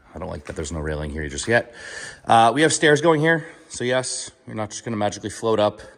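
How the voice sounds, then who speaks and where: Over noticeable background noise, a man talks at a very fast pace with very wide pitch swings and big swings in loudness. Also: medium pitch for a man. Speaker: YouTuber, vlogger. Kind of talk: casual video walkthrough. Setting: indoors, house under construction. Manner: casual, filler-heavy.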